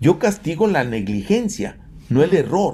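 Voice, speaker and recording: A man talks at a fairly slow pace in a somewhat breathy voice. His pitch swings very widely. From Mexico. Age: 70s. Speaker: engineer and entrepreneur. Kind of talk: interview.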